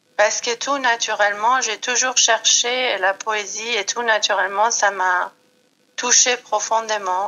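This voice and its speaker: Talking at a very slow pace, a woman keeps her fairly high voice in a fairly even intonation. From Iran. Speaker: yoga and Yi King practitioner. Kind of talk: podcast interview. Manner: hesitant, many fillers.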